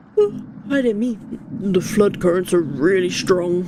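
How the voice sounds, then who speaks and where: In a put-on character voice, a woman talks at a fairly slow pace with a medium pitch. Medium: virtual streamer. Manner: nervous, rambling.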